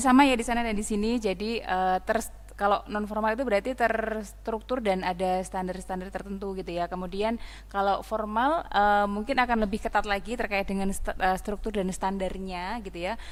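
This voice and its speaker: With audible room echo, a woman talks at a very fast pace, medium in pitch, with fairly even intonation. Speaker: lecture moderator and co-presenter. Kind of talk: lecture summary in Indonesian. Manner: hesitant, many fillers.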